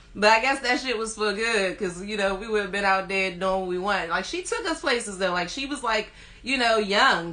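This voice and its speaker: A woman with an American accent talks at a fairly quick pace and a fairly high pitch, her intonation lively. Noticeable background noise and audible room echo fill the recording. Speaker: rapper. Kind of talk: interview. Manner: casual, uses lots of fillers.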